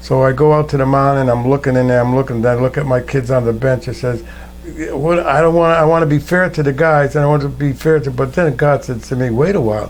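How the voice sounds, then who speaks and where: A man with an American accent at a medium pitch, very fast, with fairly even intonation and noticeable background noise. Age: 80s+. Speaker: war veteran. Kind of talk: oral history interview. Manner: conversational storytelling.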